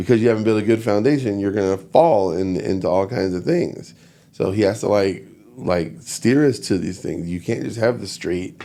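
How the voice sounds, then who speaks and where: Fairly low in pitch with ordinary variation, this man's voice has a dark, mellow tone. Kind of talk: casual chat. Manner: fast.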